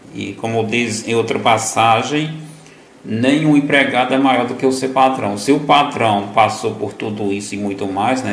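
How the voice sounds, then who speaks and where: A man talks at a fairly slow pace with fairly even intonation. Audible room echo and noticeable background noise fill the recording. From Northeast Brazil, Piauí. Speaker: lay preacher. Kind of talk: gospel reflection. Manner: halting, many fillers.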